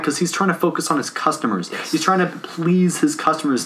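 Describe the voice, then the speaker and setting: A man with a normal speaking voice, fairly high pitch, ordinary pitch variation and a fairly quick pace. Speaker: guest, college student and developer. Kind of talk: casual conversation.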